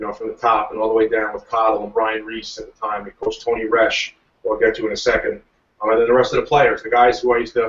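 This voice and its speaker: A man with a Long Island accent talks at a very fast pace, with big swings in loudness. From US Northeast, Long Island, New York. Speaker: professional lacrosse player. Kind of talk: interview. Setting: video call.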